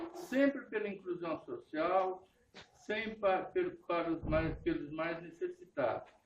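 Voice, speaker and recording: Speaking at a very slow pace, a man with a high pitch moves through very wide pitch swings. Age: 80s+. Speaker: party supporter at political meeting. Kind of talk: short speech at political meeting.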